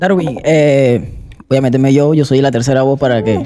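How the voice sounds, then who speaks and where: Fairly slow speech over a quiet background. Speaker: sports podcast host. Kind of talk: interview. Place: studio. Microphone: studio mic.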